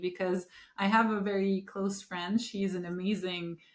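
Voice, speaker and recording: Woman with a Turkish accent, medium pitch, moderate pace and monotone, flat intonation. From Turkey. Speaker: podcast host. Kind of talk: interview.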